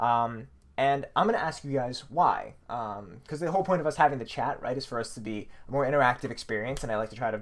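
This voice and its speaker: A man of medium pitch talks in an animated tone at a very fast pace, with hardly any pauses and ordinary pitch variation, in a very clean recording against a silent background. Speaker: university lecturer. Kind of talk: lecture.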